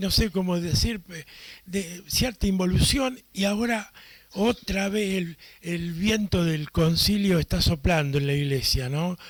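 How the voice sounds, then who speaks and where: High pitch from a man, ordinary in its pitch variation. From Argentina. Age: 80s+. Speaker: priest and catechist. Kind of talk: conference talk. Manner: halting, with many fillers.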